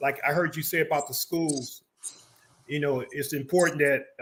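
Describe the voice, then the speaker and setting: A man speaks at a moderate pace with a fairly high pitch. His tone is bright and sharp, and his intonation stays fairly even. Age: 60s. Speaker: community educator. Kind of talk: interview chat.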